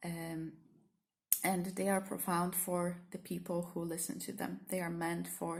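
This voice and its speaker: Speaking with a Polish accent at a moderate pace, a woman has a somewhat breathy, fairly low-pitched voice and monotone, flat intonation. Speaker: therapist and spiritual teacher. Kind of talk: spontaneous vlog reflection. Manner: halting, many fillers.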